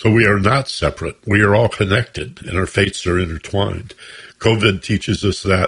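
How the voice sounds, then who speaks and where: The man's voice is somewhat breathy, with fairly even intonation. The background is quiet. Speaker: radio host. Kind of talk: radio interview. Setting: radio studio.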